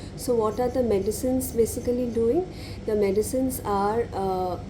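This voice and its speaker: Soft-spoken at a moderate pace, a woman talks amid audible room echo. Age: 30s. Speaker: law lecturer and lupus patient vlogger. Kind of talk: personal vlog monologue. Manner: halting.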